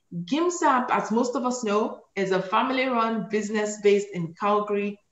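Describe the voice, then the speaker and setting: Audible room echo surrounds a woman who speaks at a fairly slow pace. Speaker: event moderator host. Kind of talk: event host announcements. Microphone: video call.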